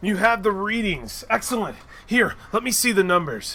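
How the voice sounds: A man puts on a character voice, high-pitched with a bright, sharp tone. His intonation is lively and his pace moderate.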